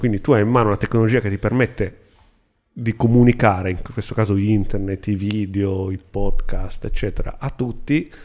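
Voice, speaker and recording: In a dark, mellow tone, a man speaks at a fairly low pitch. His intonation stays fairly even, and his pace is fairly quick. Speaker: podcast co-host. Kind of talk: casual chat.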